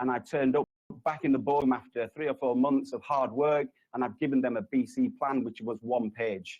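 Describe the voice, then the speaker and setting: A man with a Yorkshire accent, medium pitch and ordinary pitch variation. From Yorkshire, northern England. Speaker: resilience consultant, conference speaker. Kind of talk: conference presentation. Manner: hesitant, many fillers.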